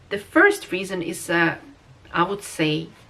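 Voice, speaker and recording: With a Russian accent and ordinary pitch variation, a woman speaks over noticeable background noise. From Russia, Moscow. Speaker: vlogger. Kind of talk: casual vlog monologue. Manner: hesitant, many fillers.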